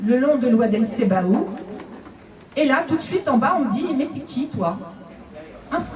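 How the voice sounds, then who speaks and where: Her pitch swings very widely as this woman talks at a moderate pace. Background noise is noticeable. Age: 60s. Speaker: audience member at literary café. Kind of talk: personal testimony. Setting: literary café with audience.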